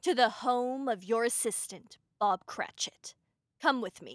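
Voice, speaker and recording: A woman puts on a character voice at a high pitch and a fairly slow pace. The recording is very clean with a silent background. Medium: read story. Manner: solemn, reproachful.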